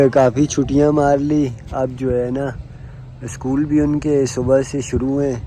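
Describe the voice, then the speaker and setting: A man's fairly high voice comes through monotone and flat, with noticeable background noise behind it. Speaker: family vlogger. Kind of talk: casual vlog chat. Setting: outdoors on rooftop. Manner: soft-spoken.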